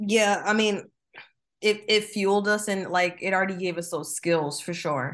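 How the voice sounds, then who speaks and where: A woman with an American accent and a normal speaking voice, medium pitch, ordinary pitch variation and a moderate pace, against a quiet background. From New Jersey. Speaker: marketing professional and designer. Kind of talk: interview. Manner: casual, with frequent fillers.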